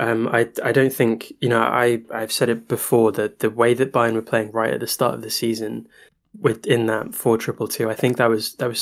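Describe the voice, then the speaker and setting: A man with a British accent and a medium-pitched voice. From Britain. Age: 20s. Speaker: football podcast co-host. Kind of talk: casual chat.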